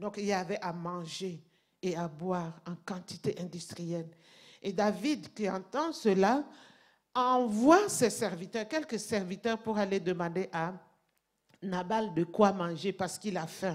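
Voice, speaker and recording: Speaking at a very slow pace with long, frequent pauses and ordinary pitch variation, the voice carries a non-native accent in a very clean recording with a silent background. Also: woman, medium pitch for a woman. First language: not French (speaking French). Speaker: pastor. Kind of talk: sermon. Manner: halting.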